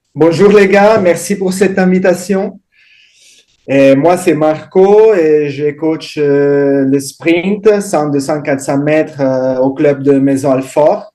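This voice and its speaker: With an Italian accent, a man speaks very slowly in a dark, mellow tone at a fairly high pitch. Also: ordinary pitch variation. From Italy. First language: Italian (speaking French). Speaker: sprint coach. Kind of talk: round-table discussion.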